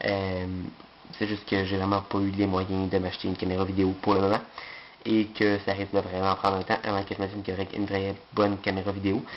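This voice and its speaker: A man with a fairly low pitch, monotone, flat intonation and a fairly quick pace. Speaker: unboxing video creator. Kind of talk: product unboxing video. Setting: bedroom. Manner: fast; hesitant, many filler sounds.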